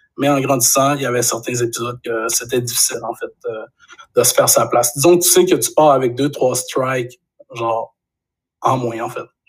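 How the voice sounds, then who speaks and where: The delivery is somewhat breathy, fairly even in intonation and moderate in pace. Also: man, medium pitch for a man. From Quebec, Saguenay region. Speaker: graphic designer and photographer. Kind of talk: casual interview chat.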